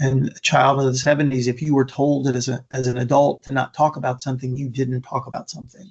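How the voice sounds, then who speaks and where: Speaking at a very fast pace with hardly any pauses, a man with an American accent has a medium pitch, a somewhat breathy sound, monotone, flat intonation and big swings in loudness. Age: 60s. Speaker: motivational speaker on suicide prevention. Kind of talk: conference presentation. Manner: repetitive, stumbling restarts.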